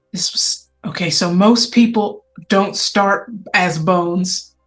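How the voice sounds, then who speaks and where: Over music in the background, a female-sounding, raspy put-on character voice at a medium pitch for a woman moves at a fairly slow pace. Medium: actual play. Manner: warm, calls others honey and sugar.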